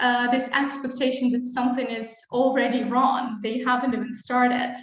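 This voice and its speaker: In a room with audible echo, a woman with a non-native accent speaks at a moderate pace in a high, monotone, flat voice. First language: not English. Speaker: webinar host, marketing executive. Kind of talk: live webinar interview. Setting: live stream.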